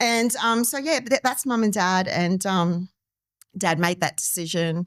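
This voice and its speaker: This woman has an Australian accent. She talks at a fairly slow pace. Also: medium pitch for a woman, very clean recording, silent background. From Australia, Darwin (born Timor-Leste). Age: 50s. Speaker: community member sharing life story. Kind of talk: podcast interview.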